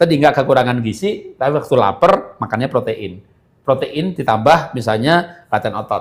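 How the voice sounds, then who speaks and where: A man with a fairly high pitch and a somewhat breathy voice speaks at a moderate pace with lively intonation. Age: 60s. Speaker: health product speaker. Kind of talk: live webinar Q&A.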